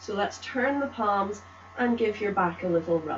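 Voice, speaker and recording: Over noticeable background noise, a woman talks at a moderate pace. Her tone is calm and gentle. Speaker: tai chi instructor. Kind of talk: guided movement class and guided relaxation. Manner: calm, gentle.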